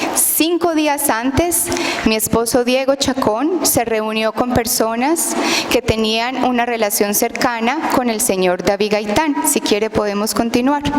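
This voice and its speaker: At a fairly slow pace, a woman speaks in a high voice with ordinary pitch variation and very even loudness over noticeable background noise. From outside Guatemala. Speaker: testifying witness, wife of a detained lawyer. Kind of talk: testimony at a public hearing.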